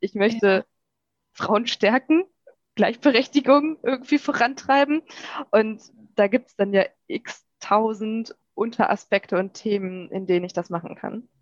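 The speaker moves at a fairly slow pace, leaving long, frequent pauses. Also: woman, fairly high pitch for a woman, lively intonation, dry, close sound with no echo. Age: 30s. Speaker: journalist and podcast host. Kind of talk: podcast interview.

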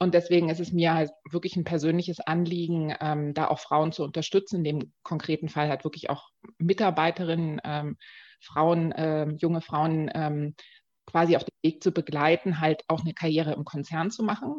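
A woman with an unremarkable speaking voice talks at a moderate pace, her fairly low pitch and fairly even intonation set against a quiet background. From Dresden, eastern Germany. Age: 40s. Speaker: marketing executive. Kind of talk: interview.

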